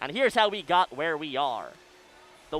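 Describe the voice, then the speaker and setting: Loud and high-pitched, a man talks at a fairly quick pace. His pitch varies in an ordinary way. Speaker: college radio sports play-by-play announcer. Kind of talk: live commentary. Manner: fast.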